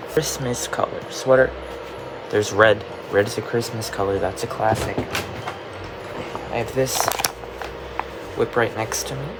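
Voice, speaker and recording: A man speaks at a fairly slow pace in a medium pitch, with long, frequent pauses and ordinary pitch variation. Noticeable background noise and audible room echo fill the recording. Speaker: crochet vlogger. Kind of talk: casual vlog. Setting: at home at night.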